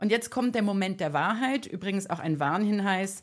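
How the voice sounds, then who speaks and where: A woman's animated tone on a very clean recording with a silent background. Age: 40s. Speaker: podcast host, digital detox coach. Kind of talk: solo podcast monologue. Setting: video podcast recording.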